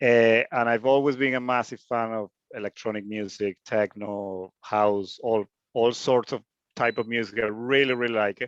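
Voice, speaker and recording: At a moderate pace, the speaker delivers monotone, flat intonation with a Spanish accent. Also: man, medium pitch for a man. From Venezuela. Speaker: hobby DJ learner. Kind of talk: self-introduction in group call.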